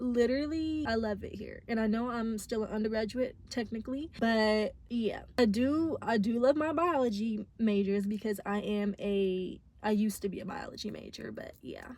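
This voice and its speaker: A somewhat breathy woman's voice, fairly high-pitched, at a moderate pace with ordinary pitch variation and hardly any pauses. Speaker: college student vlogger. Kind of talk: casual vlog chat. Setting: in a parked car. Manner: casual, self-correcting with stumbles.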